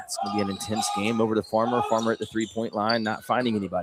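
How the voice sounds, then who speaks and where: Over noticeable background noise, a man speaks at a fairly quick pace with a medium pitch. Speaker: high school basketball play-by-play announcer. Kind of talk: live sports commentary. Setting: courtside at a gym, live broadcast. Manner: fast, animated play-by-play.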